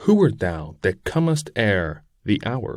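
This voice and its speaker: A man does a put-on character voice, growling at a medium pitch and a fairly slow pace. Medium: read story. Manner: haughty, bitter.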